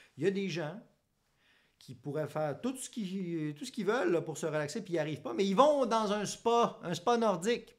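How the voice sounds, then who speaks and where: A man in a Quebec accent on a very clean recording with a silent background. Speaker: psychologist. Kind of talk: educational monologue. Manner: casual.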